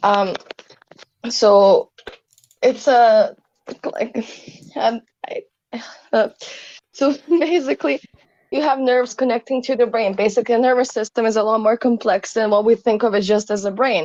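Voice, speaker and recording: A woman's fairly high voice with a non-native accent, ordinary pitch variation, long and frequent pauses, and a dry, close sound with no echo. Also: moderate pace. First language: not English. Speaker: caller in debate. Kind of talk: casual philosophical debate. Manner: halting, searching for words.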